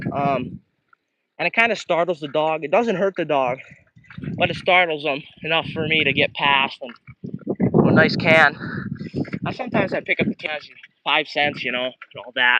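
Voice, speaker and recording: A man with a fairly high voice speaks at a moderate pace with ordinary pitch variation. He leaves long, frequent pauses, and the sound is dry and close with no echo. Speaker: vlogger. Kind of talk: casual live stream monologue while biking. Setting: outdoors on a bike. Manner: hesitant, many fillers; quiet.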